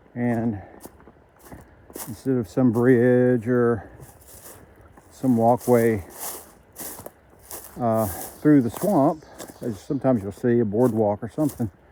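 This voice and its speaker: Very slow speech broken by long, frequent pauses, over noticeable background noise. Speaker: long-distance hiker vlogger. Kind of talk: casual vlog narration. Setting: outdoors on a hiking trail. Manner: hesitant with many fillers; loud, raised voice over creek.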